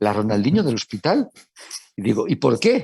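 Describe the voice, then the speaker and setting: A man's dark, mellow tone. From Italy. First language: Italian (speaking Spanish). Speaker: hospital medical director. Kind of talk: panel discussion. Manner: halting, many repetitions and fillers.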